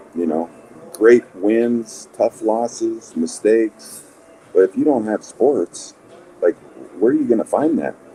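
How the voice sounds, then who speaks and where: A man with an American accent speaks at medium pitch and a fairly slow pace, with long, frequent pauses. His pitch varies an ordinary amount, and the sound is dry and close with no echo, though background noise is noticeable. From Montana, US. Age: 60s. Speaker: former basketball player and coach. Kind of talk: podcast interview.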